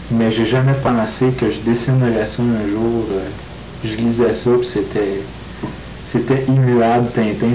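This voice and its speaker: Speaking at a fairly slow pace in a Quebec accent, a man keeps a monotone, flat intonation over noticeable background noise. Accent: nasal Quebec French. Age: 20s. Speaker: comic book artist. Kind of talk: interview answer.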